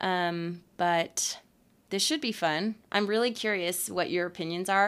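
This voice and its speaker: On a very clean recording with a silent background, a woman with an American accent uses a plain, everyday voice at a fairly slow pace with ordinary pitch variation. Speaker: podcast host. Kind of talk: casual chat.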